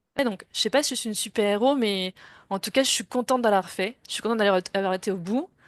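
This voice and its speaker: A woman speaks at medium pitch with ordinary pitch variation. The background is quiet, and the sound is dry and close with no echo. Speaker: interviewee sharing career change. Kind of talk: interview testimony. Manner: fast.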